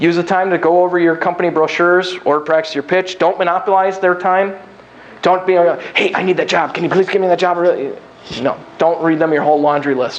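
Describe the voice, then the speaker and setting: Speech at a very fast pace with fairly even intonation comes through noticeable background noise. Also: man. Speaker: keynote speaker on job seeking, recruiter. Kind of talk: lecture.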